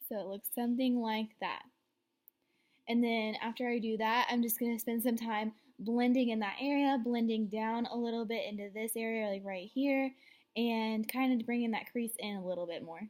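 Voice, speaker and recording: With an unremarkable speaking voice, a woman talks at a moderate pace, her fairly high pitch following a fairly even intonation. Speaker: beauty vlogger. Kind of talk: makeup tutorial. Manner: casual, filler words.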